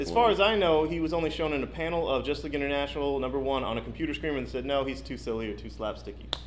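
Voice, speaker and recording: A man talks at a very fast pace with hardly any pauses. Noticeable background noise is present. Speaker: comic shop co-host. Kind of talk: casual podcast talk.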